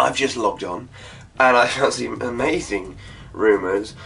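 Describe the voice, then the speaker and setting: Lively intonation runs through this man's speech in an English accent. Music plays in the background. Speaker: gaming YouTuber. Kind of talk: casual video commentary.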